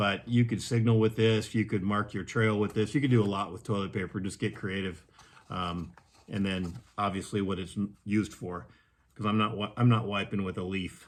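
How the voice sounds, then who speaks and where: In a plain, everyday voice, a man speaks at a moderate pace with a fairly low pitch and fairly even intonation. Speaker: gear reviewer. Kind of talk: tutorial. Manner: casual with frequent fillers and repeats.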